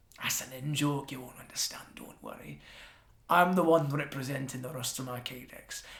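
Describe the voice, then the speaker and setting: Using a put-on character voice, a man speaks at a moderate pace in a raspy, medium-pitched tone. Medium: actual play. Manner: dry, sardonic.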